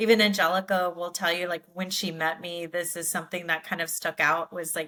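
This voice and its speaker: Speaking at a fairly quick pace, the woman has a fairly low pitch and a bright, sharp tone, with monotone, flat intonation. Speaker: podcast co-host. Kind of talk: casual chat.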